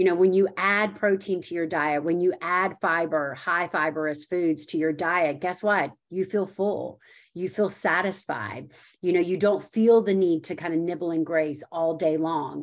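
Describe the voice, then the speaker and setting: Fairly low in pitch, a woman talks at a fairly slow pace with fairly even intonation against a quiet background. It is a normal speaking voice. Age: 40s. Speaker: registered dietitian. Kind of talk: casual interview.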